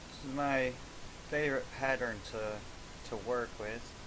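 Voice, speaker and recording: A soft-spoken man amid noticeable background noise and audible room echo. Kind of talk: casual crafting video narration. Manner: halting.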